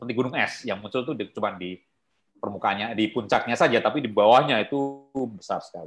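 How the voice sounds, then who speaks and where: A man speaks at a very fast pace, his pitch varying in an ordinary way. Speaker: wildlife trade conservation expert; guest lecturer. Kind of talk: online guest lecture. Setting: video call. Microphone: video call.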